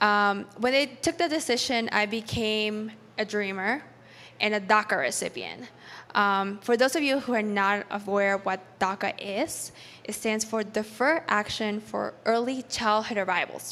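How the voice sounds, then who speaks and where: In a very clean recording with a silent background, a woman with a Spanish accent speaks at a fairly slow pace, her fairly high pitch carrying a bright, sharp tone and ordinary pitch variation. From Peru, then New York City. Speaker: startup founder and engineer. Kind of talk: personal story talk at event.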